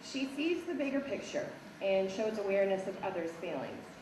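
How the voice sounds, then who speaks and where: Audible room echo and noticeable background noise surround a woman's voice. She talks at a fairly quick pace and fairly high pitch, with very wide pitch swings. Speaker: teacher. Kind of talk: awards speech.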